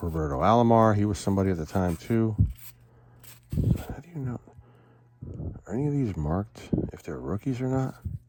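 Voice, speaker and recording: Over noticeable background noise, a man talks at a fairly quick pace and fairly low pitch, with very wide pitch swings, big swings in loudness and long, frequent pauses. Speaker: card collecting youtuber. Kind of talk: casual box opening commentary.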